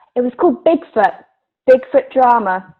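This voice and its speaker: With an English accent, the words come at a moderate pace. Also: woman. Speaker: actor. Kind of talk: casual chat.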